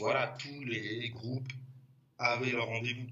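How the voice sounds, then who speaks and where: Male voice of medium pitch, with noticeable background noise and audible echo from the room. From Paris, 11th arrondissement. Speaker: graffiti artist. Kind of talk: casual chat. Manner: halting.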